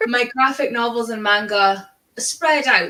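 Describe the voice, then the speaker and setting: A woman's fairly high voice in a Scottish accent, at a fairly slow pace with ordinary pitch variation. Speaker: book streamer. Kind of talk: casual chat.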